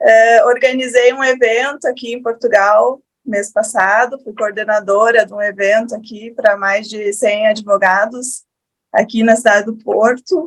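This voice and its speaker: A woman with a strong Rio Grande do Sul accent, fairly high pitch, fairly even intonation, big swings in loudness and a fairly slow pace. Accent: strong gaúcho Brazilian. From Rio Grande do Sul, southern Brazil. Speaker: lawyer, panelist. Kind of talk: panel talk.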